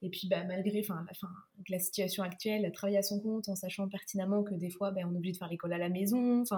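At a very fast pace, a woman with a medium pitch speaks in a monotone, flat intonation. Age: 20s. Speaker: content creator. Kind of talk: interview, casual chat.

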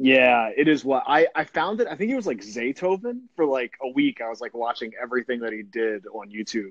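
Medium-pitched man with a normal speaking voice, lively intonation and a fairly quick pace, hardly any pauses, dry and close with no echo. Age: 30s. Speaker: podcast host. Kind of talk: casual phone interview. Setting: phone call.

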